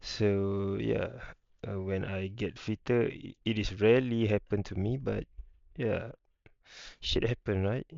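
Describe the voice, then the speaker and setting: Speaking with a Malaysian accent, a man keeps fairly even intonation at a fairly slow pace, with long, frequent pauses. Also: fairly low pitch for a man. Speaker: YouTuber. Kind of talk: casual vlog rant. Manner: halting, many fillers.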